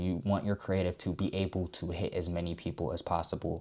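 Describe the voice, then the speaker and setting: At a fairly quick pace, a man speaks in a very clean recording with a silent background. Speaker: marketing agency founder, online ad educator. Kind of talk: tutorial. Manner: casual, fillers and self-repeats.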